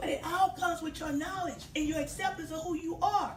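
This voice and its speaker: An extremely high-pitched female voice, animated in tone, at a fairly quick pace with audible room echo. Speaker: hair care business owner. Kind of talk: casual talk.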